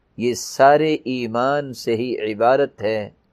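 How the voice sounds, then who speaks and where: In a very clean recording with a silent background, a man talks in a plain, everyday voice with ordinary pitch variation. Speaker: Islamic preacher. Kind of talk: Islamic sermon in Urdu.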